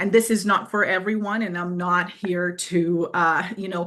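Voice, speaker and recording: A woman with a non-native accent speaks at a medium pitch with ordinary pitch variation. Her tone is bright and sharp. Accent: foreign. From Brazil. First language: Portuguese. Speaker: fitness coach. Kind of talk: live webinar presentation. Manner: hesitant, many fillers; direct.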